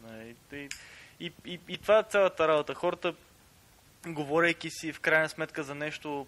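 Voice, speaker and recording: With an eastern Bulgarian accent, a man speaks at a moderate pace in a bright, sharp tone and fairly even intonation. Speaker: podcast guest. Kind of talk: casual podcast talk.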